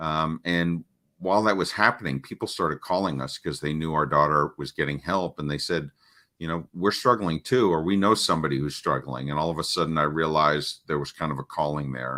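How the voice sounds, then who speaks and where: Talking at a fairly quick pace, a man has a very deep, low pitch and a bright, sharp tone. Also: ordinary pitch variation. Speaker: parenting coach. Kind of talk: interview. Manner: halting.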